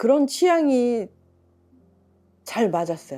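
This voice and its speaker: Her dark, mellow tone carries very wide pitch swings as this woman speaks. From Korea, rural village. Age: 60s. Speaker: mother of four, aspiring spiritual practitioner. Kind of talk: documentary interview answer. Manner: hesitant, conversational.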